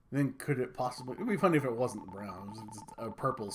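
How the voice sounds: Intonation here is lively. This is a natural reading voice.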